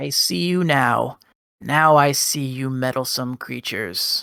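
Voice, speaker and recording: The put-on character voice sits at a low-to-middle pitch and moves at a fairly slow pace. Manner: eerie, menacing.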